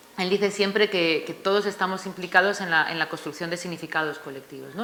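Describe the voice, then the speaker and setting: A woman with a fairly low pitch talks at a very fast pace with ordinary pitch variation. Noticeable background noise can be heard. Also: big swings in loudness. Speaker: author presenting her book. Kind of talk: book presentation talk. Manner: hesitant, many fillers.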